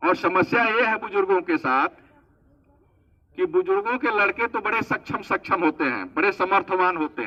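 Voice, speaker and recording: The man's voice sits high in pitch. His intonation is lively. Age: 60s. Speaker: government official speaking at event. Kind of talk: public speech. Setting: event at old age home.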